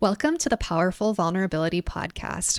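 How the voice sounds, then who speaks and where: In a dry, close sound with no echo, a woman with an ordinary speaking voice talks at a medium pitch and a fairly quick pace. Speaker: podcast host. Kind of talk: podcast intro.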